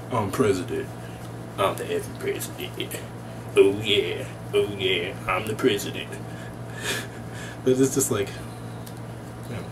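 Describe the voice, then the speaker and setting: A man at a fairly slow pace, with long, frequent pauses and noticeable background noise. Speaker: MBA student vlogger. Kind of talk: casual vlog chat. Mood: relaxed, amused. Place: home room. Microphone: webcam.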